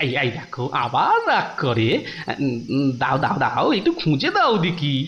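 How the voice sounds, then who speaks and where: The speaker uses a cartoonish character voice at a moderate pace. Clear background noise can be heard. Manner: chatty, fussy, playfully cunning.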